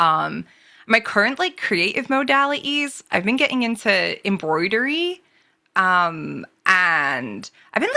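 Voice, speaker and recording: A woman with a medium pitch and vocal fry talks at a fairly slow pace with very wide pitch swings, on a very clean recording with a silent background. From England. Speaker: book club participant. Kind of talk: casual chat. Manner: halting.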